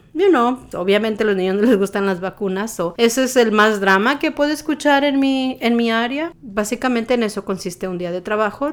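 Against noticeable background noise, a woman talks at a moderate pace with hardly any pauses. Her fairly high voice has lively intonation. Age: 40s. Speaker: lactation specialist. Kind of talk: interview monologue.

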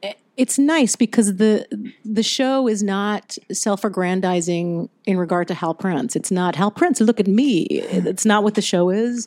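A woman with an American accent speaks in a normal speaking voice at a medium pitch, with lively intonation. Her pace is fairly slow with hardly any pauses, on a very clean recording with a silent background. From Virginia, US South. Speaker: Broadway actress. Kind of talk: casual interview.

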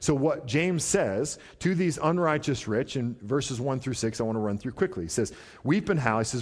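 This is an ordinary speaking voice. It moves at a fairly quick pace with lively intonation. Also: man. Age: 30s. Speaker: pastor. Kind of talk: sermon. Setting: church.

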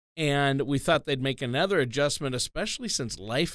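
A plain, everyday voice from a man, fairly high in pitch, with lively intonation at a moderate pace on a very clean recording with a silent background. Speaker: co-host and announcer. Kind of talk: radio show intro and casual talk.

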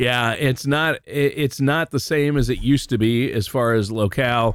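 An unremarkable speaking voice from a man at medium pitch, with ordinary pitch variation, very even loudness and a moderate pace, on a very clean recording with a silent background. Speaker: radio co-host. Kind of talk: casual radio chat. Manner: friendly, upbeat.

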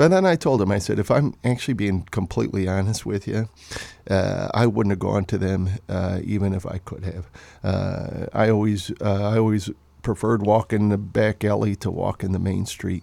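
In a Chicago accent, a man with a dark, mellow tone talks at a moderate pace, his intonation fairly even. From Chicago area, Illinois. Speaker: novelist. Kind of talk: interview. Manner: halting.

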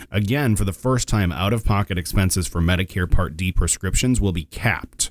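A man with a very deep, low pitch talks at a fairly quick pace with hardly any pauses and ordinary pitch variation. The recording is very clean, the background silent. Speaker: financial advisor radio host. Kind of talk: radio show discussion.

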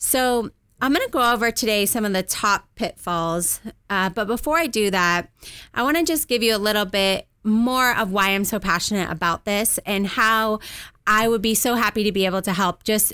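Bright and sharp in tone, a woman with a Californian accent speaks at a fairly high pitch and a moderate pace. Her loudness stays very even, her pitch varies in an ordinary way, and the recording is very clean with a silent background. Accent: Californian American. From Southern California. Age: 30s. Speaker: financial advisor. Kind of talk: radio interview.

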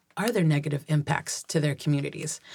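A somewhat breathy woman with an American accent at a fairly quick pace. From US Pacific Northwest (Pierce County, Washington). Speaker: political candidate. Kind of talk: interview.

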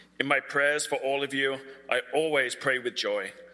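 In a British accent, a man of medium pitch speaks at a moderate pace with a bright, sharp tone. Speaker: scripture reader at church. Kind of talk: reading aloud of scripture.

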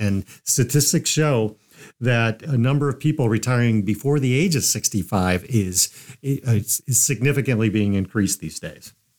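A man with an ordinary speaking voice talks at a moderate pace, at medium pitch with ordinary pitch variation. The recording is very clean, with a silent background. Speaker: financial advisor radio host. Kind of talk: informative talk show discussion.

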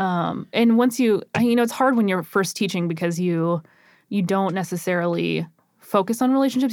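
A woman talks at a fairly quick pace and medium pitch. Hers is a normal speaking voice. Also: very even loudness, very clean recording, silent background. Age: 30s. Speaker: teacher and podcast co-host. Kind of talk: casual chat.

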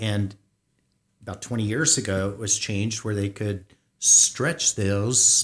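The voice is somewhat breathy with ordinary pitch variation. It moves at a fairly slow pace. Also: man. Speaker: financial advisor radio host. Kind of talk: radio talk show discussion.

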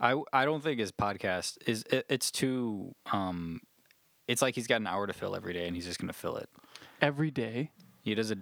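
A man talks at a fairly quick pace with lively intonation and medium pitch in a normal speaking voice. The recording is very clean, with a silent background. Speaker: podcast host. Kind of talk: casual banter.

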